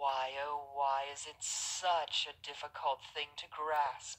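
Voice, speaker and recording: A put-on character voice speaks at a fairly slow pace in a low-to-middle pitch with monotone, flat intonation. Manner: mockingly lamenting.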